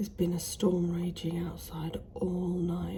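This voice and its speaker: A woman speaks with a British accent. Noticeable background noise is present. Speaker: smallholder vlogger. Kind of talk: casual vlog. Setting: indoors in conservatory. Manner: whispering; halting.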